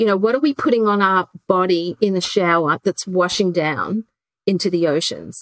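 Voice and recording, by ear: A woman speaks at a moderate pace in a fairly low voice with lively intonation, recorded with a dry, close sound and no echo.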